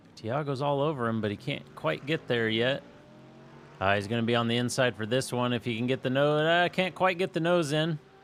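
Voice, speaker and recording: A man with a Kansas accent at a medium pitch, speaking at a fairly quick pace with ordinary pitch variation. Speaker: sim racing commentator. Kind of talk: live commentary. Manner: casual, hesitant.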